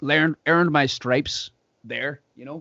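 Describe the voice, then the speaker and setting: A man speaks with a Northern Irish accent. His intonation is fairly even. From Northern Ireland, Derry. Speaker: podcast host and singer. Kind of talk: casual chat.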